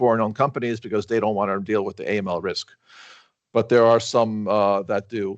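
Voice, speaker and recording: A man speaks at a fairly quick pace with a medium pitch. The background is quiet. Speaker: lawyer. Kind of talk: webinar presentation. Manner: fast; halting.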